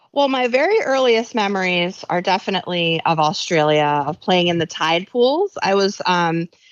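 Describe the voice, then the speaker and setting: With an American accent, a woman of medium pitch speaks at a moderate pace with lively intonation, very even loudness and hardly any pauses. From New York. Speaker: author and science journalist. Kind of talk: interview.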